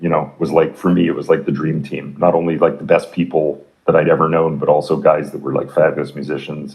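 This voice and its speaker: A man with a very deep, low voice and a Canadian accent, at a fairly quick pace. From Canada. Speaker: rock musician. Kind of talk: interview.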